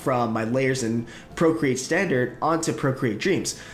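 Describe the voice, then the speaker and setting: Lively intonation marks this man's speech, set against noticeable background noise. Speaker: professional animator and story artist. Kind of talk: casual talk to camera, software review.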